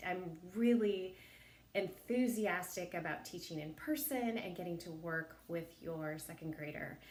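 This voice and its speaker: In a room with audible echo, a woman speaks at a moderate pace with a fairly low pitch and ordinary pitch variation. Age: 50s. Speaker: elementary school teacher. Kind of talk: recorded introduction video to parents.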